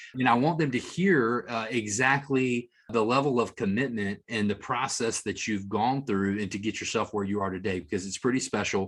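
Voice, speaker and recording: An enthusiastic man speaks with a Tennessee accent. His pitch varies in an ordinary way. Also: medium pitch for a man, moderate pace. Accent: Southern US (Tennessee). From US South. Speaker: marketing executive, interview host. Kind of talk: interview.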